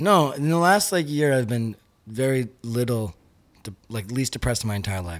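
Very wide pitch swings mark a man's medium-pitched voice. He talks at a moderate pace on a very clean recording over a silent background. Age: 30s. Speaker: musician. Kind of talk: casual chat.

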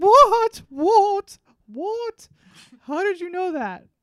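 Using a put-on character voice with a Swedish accent, a woman speaks at an extremely high pitch. Her voice is raised and projected.

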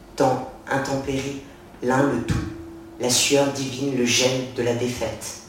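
Delivered at a very slow pace, the speech has a theatrical tone over noticeable background noise. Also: man. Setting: bookshop reading in front of an audience. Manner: theatrical, sensual and mocking, shifting between taunting and tender.

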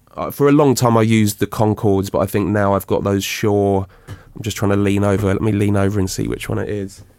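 A man with an ordinary speaking voice, fairly low in pitch, at a fairly quick pace with fairly even intonation. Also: hardly any pauses. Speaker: drum and bass producer. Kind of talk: interview chat.

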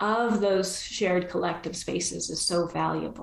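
A woman talks fairly slowly in a room with audible echo and noticeable background noise. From Argentina. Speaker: coaching school leader. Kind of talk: interview.

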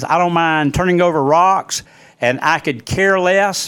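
A man with an Alabama accent speaks at a moderate pace in a high voice, recorded very cleanly against a silent background. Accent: US Southern, Alabama. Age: 60s. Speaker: local news podcaster. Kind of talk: opinion monologue.

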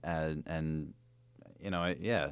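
A man with an American accent, very deep and low in pitch, at a fairly slow pace with fairly even intonation, on a very clean recording with a silent background. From New Jersey. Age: 30s. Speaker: head brewer. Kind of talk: casual chat. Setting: studio. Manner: halting.

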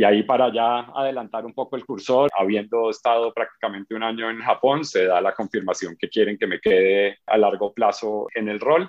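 This is an unremarkable speaking voice from a man at a medium pitch and moderate pace. He shows ordinary pitch variation and hardly any pauses. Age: 40s. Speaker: advertising agency CEO. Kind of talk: interview. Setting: video call.

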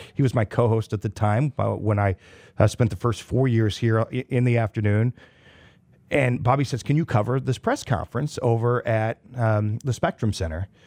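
In a very clean recording with a silent background and a dry, close sound with no echo, a man speaks at a moderate pace in a normal speaking voice, medium in pitch, with ordinary pitch variation and very even loudness. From Kansas. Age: 40s. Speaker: radio sales director and voiceover artist. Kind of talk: casual interview.

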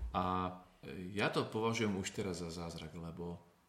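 Very deep and low in pitch, a man speaks with ordinary pitch variation. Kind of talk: interview. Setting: recorded abroad on mission trip.

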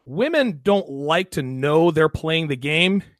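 Recorded very cleanly against a silent background, with a dry, close sound and no echo, a man talks at a fairly slow pace. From US military family, moved around. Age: 40s. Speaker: podcast host, guest. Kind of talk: casual chat.

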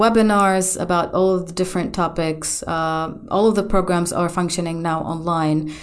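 The intonation is fairly even, with an Arabic accent. Room echo is audible. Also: woman. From Gaza, Palestine. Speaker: architect turned web developer. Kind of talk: interview.

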